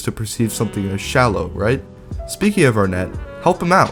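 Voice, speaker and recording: Fairly quick male speech, fairly low in pitch, with very wide pitch swings and music in the background. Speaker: YouTube commentator. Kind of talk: video essay commentary.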